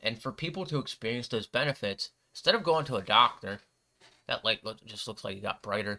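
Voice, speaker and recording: A man with a medium pitch talks at a fairly quick pace in a bright, sharp tone, on a very clean recording with a silent background. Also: lively intonation. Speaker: livestream bible reader. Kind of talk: casual commentary on bible reading. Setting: livestream with camera. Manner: halting, stutters when reading.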